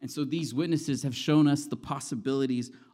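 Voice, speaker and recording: In a very clean recording with a silent background, a man with an American accent speaks at a moderate pace in a dark, mellow tone. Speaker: preacher. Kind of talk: sermon. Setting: church.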